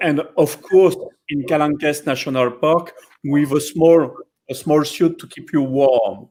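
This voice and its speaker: Speaking at a fairly slow pace with a strong French accent, a man uses a fairly high pitch and big swings in loudness. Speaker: dive center operator. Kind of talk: live educational stream. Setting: live online stream.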